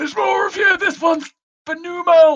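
At a moderate pace, the put-on character voice sits at an extremely high pitch. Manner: quiet.

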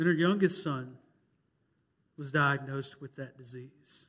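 This man has an unremarkable speaking voice with a fairly high pitch, ordinary pitch variation and a moderate pace. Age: 30s. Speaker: pastor. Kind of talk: Baptist Sunday sermon, pastoral storytelling of a parishioner's grief and revival. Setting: church. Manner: earnest, building emotional preacher cadence; conversational with repetitions and fillers.

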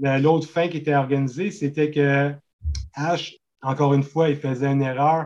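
A fairly high-pitched man at a moderate pace in a monotone, flat intonation. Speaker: horror film fan and painter. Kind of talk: casual chat.

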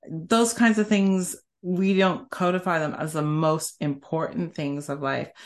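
A woman with a Canadian accent has an unremarkable speaking voice, fairly low in pitch with ordinary pitch variation. The background is quiet. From Canada. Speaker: senior tech executive. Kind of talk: interview conversation.

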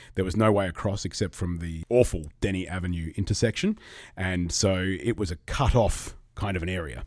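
Over a very clean recording with a silent background, a man with an Australian accent speaks fairly quickly in a very deep, low pitch with ordinary pitch variation. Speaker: real estate agent. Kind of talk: casual interview chat. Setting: studio.

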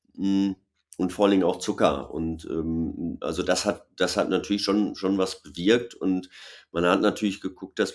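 A man's very deep, low voice, fairly slow in pace, with fairly even intonation. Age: 40s. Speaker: former pro cyclist and TV commentator. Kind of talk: casual webinar conversation. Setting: online webinar.

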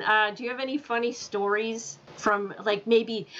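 A woman's high-pitched voice comes through over noticeable background noise. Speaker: podcast host. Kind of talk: casual interview.

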